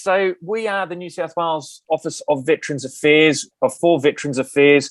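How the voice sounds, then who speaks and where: A man talks with an Australian accent and ordinary pitch variation. The sound is dry and close, with no echo. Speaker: veterans employment program manager, army veteran. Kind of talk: conference presentation. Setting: video call. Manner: loud; fast.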